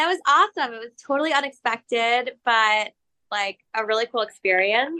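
In a dry, close recording with no echo and a quiet background, a woman with an American accent talks at a moderate pace in a high-pitched, bright, sharp tone. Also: lively intonation. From New York City. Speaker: journalist and author. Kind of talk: interview.

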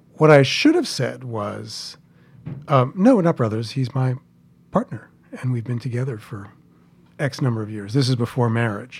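A somewhat breathy man with an American accent, medium pitch, ordinary pitch variation, a moderate pace, big swings in loudness and long, frequent pauses. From New York City (Queens). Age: 60s. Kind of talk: storytelling interview.

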